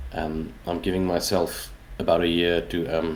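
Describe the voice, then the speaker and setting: A man speaks in a South African accent. His pitch is very deep and low. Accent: Afrikaans South African English. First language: Afrikaans. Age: 40s. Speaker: indie game developer. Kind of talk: interview. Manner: halting, many fillers.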